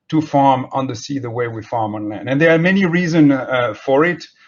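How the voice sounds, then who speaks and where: Someone with a French accent speaks at a fairly quick pace with ordinary pitch variation. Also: man. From France. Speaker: marine scientist. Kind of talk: keynote lecture. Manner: halting.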